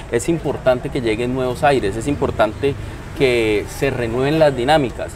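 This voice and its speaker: Noticeable background noise sits behind the voice. The pace is moderate and the intonation fairly even. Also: man. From Colombia, Neiva (Huila); Colombia. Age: 30s. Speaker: political candidate; candidate. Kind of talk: interview. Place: cafe. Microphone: lapel.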